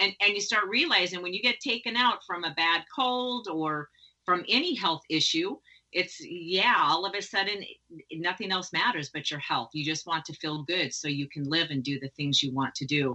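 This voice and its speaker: With lively intonation, a woman talks at a moderate pace and a fairly low pitch in a normal speaking voice. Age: 50s. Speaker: podcast host. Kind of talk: interview conversation.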